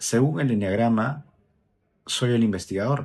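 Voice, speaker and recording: Here a man speaks at a medium pitch. His voice has a dark, mellow tone. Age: 30s. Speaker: student. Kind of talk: class presentation.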